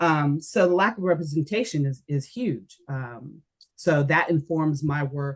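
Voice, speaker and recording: With an American accent, the speaker goes at a fairly slow pace with ordinary pitch variation. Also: woman. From Japan then US. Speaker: educational designer. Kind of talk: podcast interview. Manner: many fillers, hesitant.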